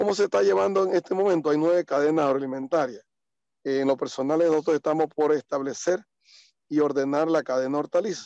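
A man's fairly high voice with a dark, mellow tone, ordinary pitch variation and a fairly quick pace. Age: 50s. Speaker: farmer. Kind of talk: interview. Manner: halting.

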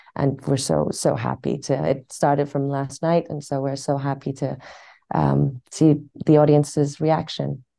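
Very deep and low for a woman, her voice has a dark, mellow tone with vocal fry. She speaks at a fairly slow pace with fairly even intonation. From Iran, then London. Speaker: actress. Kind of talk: interview.

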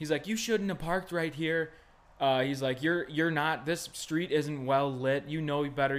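Speaking with an American accent, a man uses an ordinary speaking voice at a moderate pace with ordinary pitch variation. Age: 20s. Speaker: podcast guest. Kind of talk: casual chat.

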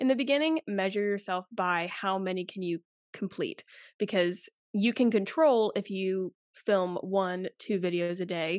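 With an American accent, a woman speaks in an unremarkable speaking voice at a medium pitch and fairly slow pace, with ordinary pitch variation, a quiet background, and a dry, close sound with no echo. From US South, South Carolina. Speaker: TikTok creator and marketer, former chemist. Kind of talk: casual interview chat.

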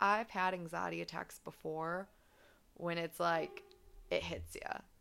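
A woman speaks at a fairly slow pace. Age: 20s. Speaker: podcast host. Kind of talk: solo personal talk.

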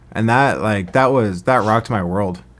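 In an American accent, a man speaks at a fairly low pitch with ordinary pitch variation and vocal fry. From US, Arizona (Scottsdale). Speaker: small business founder. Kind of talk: casual chat.

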